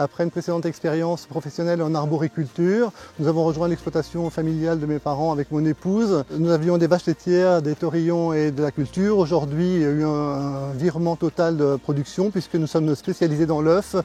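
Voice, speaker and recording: A dark, mellow tone at a fairly quick pace with fairly even intonation and hardly any pauses. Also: man, fairly high pitch for a man. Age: 60s. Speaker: farmer and cooperative board member. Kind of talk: self-introduction testimony.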